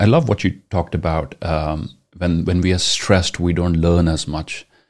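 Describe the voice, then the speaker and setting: A man with a Punjabi accent speaks in a very deep, low voice. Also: very clean recording, silent background. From India (Punjab). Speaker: podcast host, educator. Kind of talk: interview. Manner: halting.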